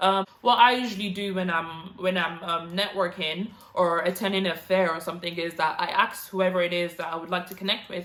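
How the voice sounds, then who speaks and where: A medium-pitched woman at a fairly quick pace, with big swings in loudness and noticeable background noise. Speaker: YouTuber giving career tips. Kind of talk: vlog tutorial. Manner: fast.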